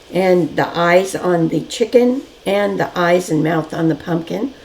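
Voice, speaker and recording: A woman's fairly low voice at a very slow pace, over noticeable background noise. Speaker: decorative painting teacher. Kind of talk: tutorial. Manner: casual, conversational.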